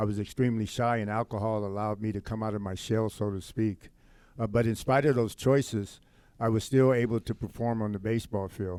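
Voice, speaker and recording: Dark and mellow in tone, a man with an American accent speaks at a fairly quick pace and fairly low pitch with fairly even intonation, on a very clean recording with a silent background. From US West Coast, Compton, California. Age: 60s. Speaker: former pro baseball player and youth counselor. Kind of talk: podcast interview, personal testimony. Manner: hesitant with frequent fillers.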